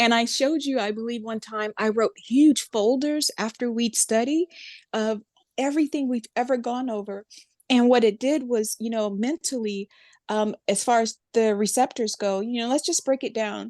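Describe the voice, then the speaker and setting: A woman with an American accent speaks at a moderate pace in an ordinary speaking voice, fairly high in pitch with ordinary pitch variation. The sound is dry and close with no echo, over a quiet background. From Florida, US. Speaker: clinical psychologist and counselor. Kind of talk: interview conversation.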